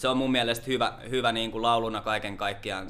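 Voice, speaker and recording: The speaker is a man with a fairly low pitch. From Lahti, Finland. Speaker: peer support worker. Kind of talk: casual interview. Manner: calm.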